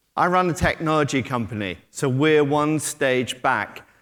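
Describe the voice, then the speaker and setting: A man with a British accent in a very clean recording with a silent background. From Britain. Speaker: technology company executive. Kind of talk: conference talk. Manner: hesitant, filler-heavy.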